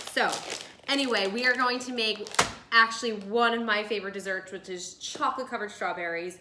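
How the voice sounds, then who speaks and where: The speaker talks at a fairly quick pace in a New Jersey accent with ordinary pitch variation. Noticeable background noise is present. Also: woman, fairly high pitch for a woman. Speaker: lifestyle video host. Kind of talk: casual cooking tutorial. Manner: chatty.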